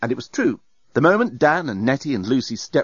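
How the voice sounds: Just a natural reading voice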